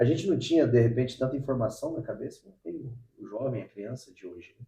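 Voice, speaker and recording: Talking at a very fast pace, a somewhat breathy man with a dark, mellow tone and medium pitch shows ordinary pitch variation and big swings in loudness. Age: 40s. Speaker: podcast host. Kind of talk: casual interview chat. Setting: at the guest's home.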